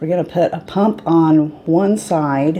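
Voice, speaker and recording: Very slowly, a woman speaks at a fairly low pitch over noticeable background noise. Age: 50s. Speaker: beauty vlogger. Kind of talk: tutorial. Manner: casual, chatty.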